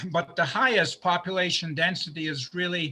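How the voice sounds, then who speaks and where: A man's high-pitched voice carries a bright, sharp tone. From Central America (Honduras, El Salvador) to American missionary parents. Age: 70s. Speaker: presenter at a church study class. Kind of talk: lecture with slides.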